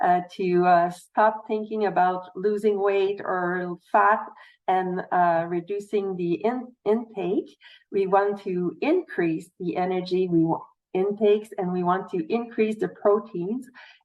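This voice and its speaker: With a Quebec accent, a woman speaks at a medium pitch and a very slow pace. Her intonation stays fairly even. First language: French. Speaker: nutritionist. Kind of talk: panel presentation. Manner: halting.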